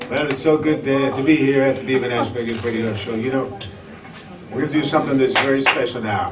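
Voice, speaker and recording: Very fast speech comes from a man with a medium pitch and fairly even intonation. Background noise is noticeable. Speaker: radio show host. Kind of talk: live radio show hosting.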